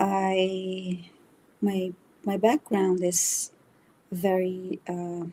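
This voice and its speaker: Over noticeable background noise, a woman with a Brazilian accent and a medium pitch speaks at a very slow pace with a monotone, flat intonation and long, frequent pauses. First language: Brazilian Portuguese. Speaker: spiritual reader. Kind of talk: interview conversation. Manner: halting, many fillers.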